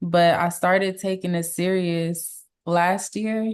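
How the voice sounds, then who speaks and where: Against a quiet background, a woman speaks with a Los Angeles accent. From Los Angeles, US. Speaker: R&B and Afrobeats singer. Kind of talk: interview.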